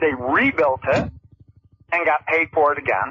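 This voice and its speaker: Fairly slow speech with an upstate New York accent. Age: 60s. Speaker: caller. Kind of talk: call-in radio complaint.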